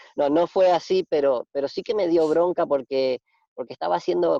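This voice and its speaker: This man has a Rioplatense accent. He talks at a fairly quick clip. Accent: Argentine Rioplatense Spanish. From Argentina. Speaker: radio host. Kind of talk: casual interview chat. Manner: hesitant, many fillers and repetitions.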